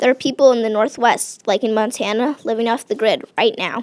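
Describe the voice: Fairly even intonation across plain reading aloud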